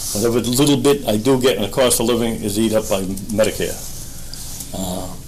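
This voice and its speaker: A man speaks at a medium pitch in a room with audible echo and noticeable background noise. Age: 70s. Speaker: retired police officer speaking at public comment. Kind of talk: public comment at town meeting. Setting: town board meeting room.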